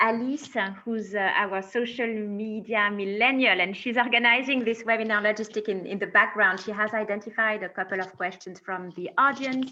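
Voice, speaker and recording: Speaking in a French accent at a moderate pace, a woman has a fairly high pitch, a bright, sharp tone and ordinary pitch variation. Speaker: corporate responsibility director, webinar host. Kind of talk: panel moderation. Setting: video call.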